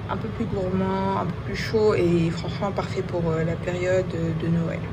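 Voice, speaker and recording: A woman with a fairly low pitch talks at a very slow pace, and noticeable background noise is present. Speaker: perfume vlogger. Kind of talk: casual vlog review. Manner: hesitant, many fillers.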